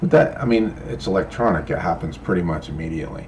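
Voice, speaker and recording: Noticeable background noise and audible room echo both fill the clip. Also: man. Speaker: crypto vlogger and rideshare driver. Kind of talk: casual vlog talk. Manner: halting, repeats words.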